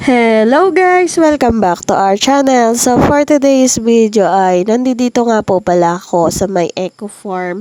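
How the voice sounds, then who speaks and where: A woman with a fairly high pitch and a dark, mellow tone speaks at a fairly slow pace, with hardly any pauses and very wide pitch swings. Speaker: vlogger. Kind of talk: casual vlog narration. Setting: outdoors on a farm.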